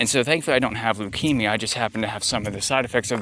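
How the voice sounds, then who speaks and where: Over noticeable background noise, a man speaks quietly at a medium pitch and a very fast pace. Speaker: vlogger. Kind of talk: casual monologue. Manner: halting, many fillers.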